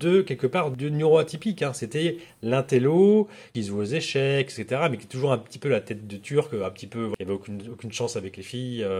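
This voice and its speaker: The very clean recording has a silent background, and a man speaks at a moderate pace. His medium-pitched voice is somewhat breathy, with lively intonation. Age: 40s. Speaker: agency founder in recruitment marketing. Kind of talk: interview. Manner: halting.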